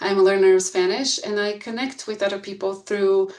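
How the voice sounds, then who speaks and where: A woman speaks with a Bulgarian accent. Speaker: school board candidate, researcher. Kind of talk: candidate presentation. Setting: video call. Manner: hesitant, many fillers.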